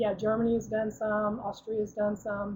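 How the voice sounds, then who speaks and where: A woman speaks at a fairly high pitch. Her voice is somewhat breathy. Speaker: product representative giving a presentation. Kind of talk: webinar presentation. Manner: fast; halting, many fillers.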